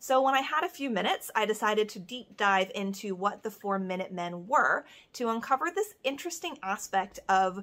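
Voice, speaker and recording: A woman's bright, sharp voice at a moderate pace. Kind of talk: educational talk to camera.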